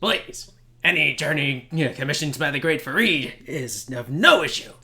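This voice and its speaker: A man puts on a character voice. His pitch sits fairly high, and he talks at a moderate pace. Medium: actual play. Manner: grandiose, theatrical.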